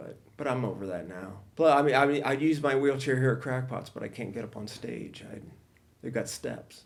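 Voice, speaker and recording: A man with a US Midwestern accent, medium pitch and ordinary pitch variation, at a moderate pace with big swings in loudness. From Ohio, US Midwest. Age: 60s. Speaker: stand-up comedian. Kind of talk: podcast interview. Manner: halting.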